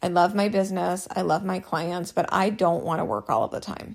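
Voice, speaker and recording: A woman speaks at a moderate pace with vocal fry and ordinary pitch variation. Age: 30s. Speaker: business coach and podcast host. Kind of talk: solo podcast monologue. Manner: casual and chatty.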